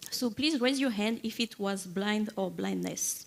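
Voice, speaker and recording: In a French accent, a woman with a fairly high-pitched voice speaks at a moderate pace. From France, Paris. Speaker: software engineer, conference keynote speaker. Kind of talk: conference keynote talk. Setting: stage with audience. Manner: hesitant, many fillers.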